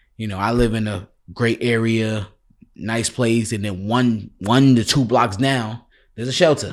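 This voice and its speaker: A man in a New York accent talks at a fairly slow pace with fairly even intonation. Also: medium pitch for a man. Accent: New York City. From New York City, Bronx. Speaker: podcast host. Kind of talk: casual interview chat.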